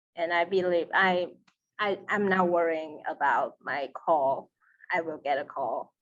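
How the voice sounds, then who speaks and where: A woman with a Taiwanese accent speaks in a fairly low pitch. Her pace is fairly slow, with ordinary pitch variation. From Taiwan, Taipei. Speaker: seminary student. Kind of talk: interview.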